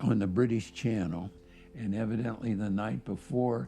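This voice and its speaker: A man's voice with music in the background. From US Midwest, Cincinnati, Ohio. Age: 90s. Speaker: war veteran. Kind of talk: testimony. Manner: halting, with many fillers.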